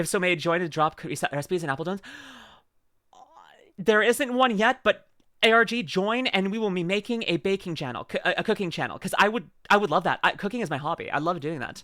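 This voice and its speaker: A nervous, bright and sharp voice rushes at a very fast pace with lively intonation on a very clean recording with a silent background. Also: woman, medium pitch for a woman. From Canada. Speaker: vtuber streamer. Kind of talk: reaction stream chat. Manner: fast, stutters; nervous stutter.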